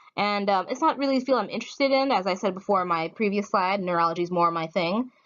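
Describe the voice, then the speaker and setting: Intonation is lively. The pace is very fast. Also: woman. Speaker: student presenter. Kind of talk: class presentation. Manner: hesitant, many fillers.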